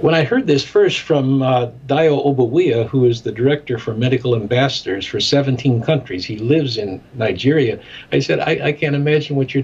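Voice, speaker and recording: A man speaks at a fairly quick pace with a Midwestern accent and ordinary pitch variation. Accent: American Midwestern. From US Midwest (Chicago). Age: 70s. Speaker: ministry director and documentary maker. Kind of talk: interview.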